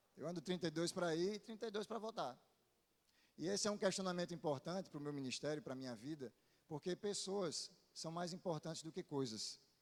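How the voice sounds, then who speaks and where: A man with a Paraíba accent, high-pitched, fairly quick, with ordinary pitch variation. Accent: Northeastern Brazilian (Paraíba). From Paraíba, Brazil (Northeast). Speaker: pastor. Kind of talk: sermon. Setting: church.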